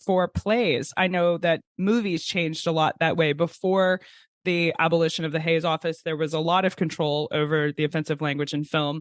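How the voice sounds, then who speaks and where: Ordinary pitch variation and a moderate pace from a man with a high pitch. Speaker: podcast host. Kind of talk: interview questions.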